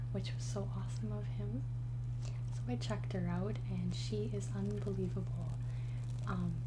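There is loud background noise. Through it, a woman speaks at a fairly slow pace. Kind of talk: casual vlog chat. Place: home room. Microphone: studio mic.

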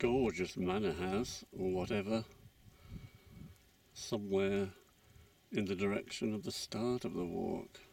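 Speaking at a very slow pace, a man with a fairly low pitch and ordinary pitch variation comes through in a dry sound with no echo. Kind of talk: walking commentary. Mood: calm, appreciative. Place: open country. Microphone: phone near.

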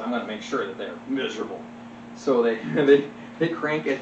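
A man at a fairly quick pace against noticeable background noise. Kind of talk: storytelling joke to small audience. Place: home room.

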